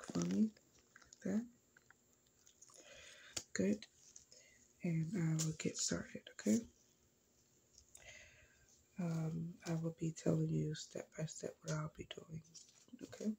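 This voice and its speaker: The pace is very slow, with long, frequent pauses. Light background noise sits underneath. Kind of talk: ASMR roleplay. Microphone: phone near.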